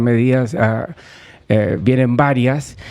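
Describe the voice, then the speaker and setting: A man with a medium-pitched voice speaks very slowly, the pitch varying in an ordinary way. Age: 60s. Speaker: economist. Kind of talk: radio interview. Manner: hesitant, many fillers and repetitions.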